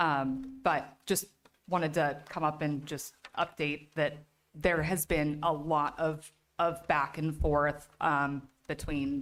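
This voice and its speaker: A shaky voice speaks at a very slow pace with monotone, flat intonation. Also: woman, very deep, low pitch for a woman. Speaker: parent speaking at public comment. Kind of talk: public comment at school board meeting. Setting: school committee meeting, public comment. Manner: halting.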